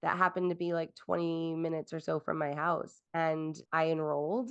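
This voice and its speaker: Against a quiet background, a woman with an ordinary speaking voice talks at a moderate pace in a fairly low pitch. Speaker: veterinary technician and educator. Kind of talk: interview.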